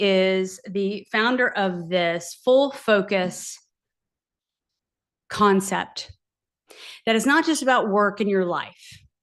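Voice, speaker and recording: A woman with medium pitch and lively intonation against a quiet background. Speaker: life coach. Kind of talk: live online masterclass. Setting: livestream with chat. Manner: slow, deliberate.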